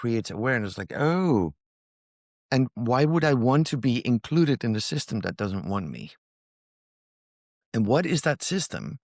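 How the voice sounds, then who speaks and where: A man at medium pitch and a moderate pace with lively intonation, dry and close with no echo, on a very clean recording with a silent background. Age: 60s. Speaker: inventor and founder of a mobility company. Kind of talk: podcast interview.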